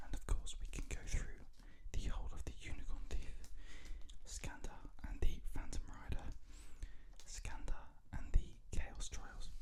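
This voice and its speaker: The voice is a whisper at a fairly slow speed, broken by long, frequent pauses. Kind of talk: ASMR book talk. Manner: whispered, soft-spoken.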